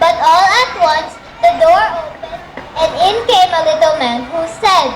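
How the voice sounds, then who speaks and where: The speaker uses a put-on character voice pitched extremely high. The pace is moderate. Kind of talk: fairy tale narration. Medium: stage play.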